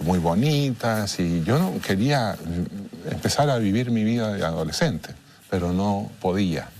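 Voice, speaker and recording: With audible room echo, a man talks at a fairly slow pace, his fairly low pitch carried by lively intonation. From Chile. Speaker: international mediator. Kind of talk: interview. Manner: halting.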